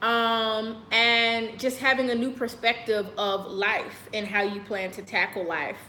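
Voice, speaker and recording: A loud woman with an American accent speaks at a fairly slow pace, with hardly any pauses and fairly even intonation. Her fairly high, bright, sharp voice carries audible room echo. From United States. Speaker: lifestyle vlogger. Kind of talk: casual monologue to camera.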